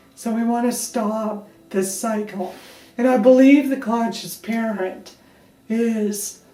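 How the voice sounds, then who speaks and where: With audible room echo, a woman speaks very slowly in a fairly high pitch and a monotone, flat intonation. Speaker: parenting coach. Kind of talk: direct-to-camera talk. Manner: emotional.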